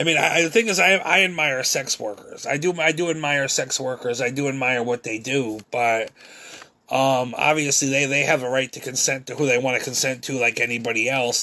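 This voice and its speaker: Fairly quick delivery with fairly even intonation amid noticeable background noise. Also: man. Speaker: vlogger. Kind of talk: monologue vlog. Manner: halting, stumbling over words; repetitive fillers.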